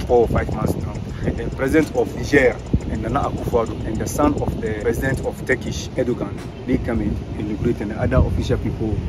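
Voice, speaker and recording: A man talks at a very fast pace with ordinary pitch variation. The sound is dry with no echo, and music plays in the background. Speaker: tour guide. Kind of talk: tour guide explanation. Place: street.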